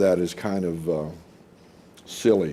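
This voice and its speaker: A man with an American accent speaks at a fairly slow pace in a dark, mellow tone, his pitch varying in an ordinary way. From Oklahoma. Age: 60s. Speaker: teacher. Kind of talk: interview. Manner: hesitant, with many fillers.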